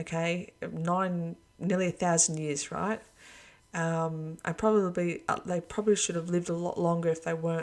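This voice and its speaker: A woman speaks in a fairly low pitch. Her delivery is monotone, with flat intonation. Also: moderate pace. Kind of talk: religious monologue video.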